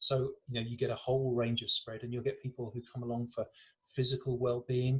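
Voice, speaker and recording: Speaking in an English accent, a man goes at a very fast pace. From England. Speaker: breathwork teacher. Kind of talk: interview.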